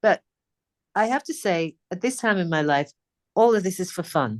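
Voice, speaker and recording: Against a quiet background, a woman with a British accent speaks in very wide pitch swings, the sound dry and close with no echo. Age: 60s. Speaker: singer. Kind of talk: interview. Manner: casual.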